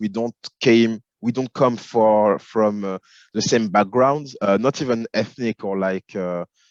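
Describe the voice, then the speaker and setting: A man of medium pitch with a French accent, at a moderate pace with ordinary pitch variation, against a quiet background. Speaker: film and television executive. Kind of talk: interview. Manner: hesitant, many fillers.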